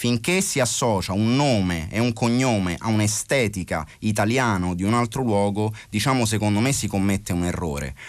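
An ordinary speaking voice at a moderate pace, with lively intonation and very even loudness. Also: man. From Italy. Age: 40s. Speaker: rapper. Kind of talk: interview.

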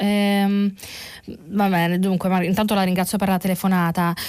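A woman talks at a moderate pace in a medium pitch, her intonation fairly even and her loudness very even. It is an ordinary speaking voice. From Italy, Naples. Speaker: journalist presenting press review. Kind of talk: radio press review and call-in. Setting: radio studio.

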